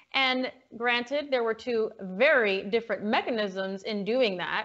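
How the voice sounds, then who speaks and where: Her fairly high pitch showing ordinary pitch variation, a woman speaks in a plain, everyday voice. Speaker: political talk show co-host. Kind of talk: casual political chat show.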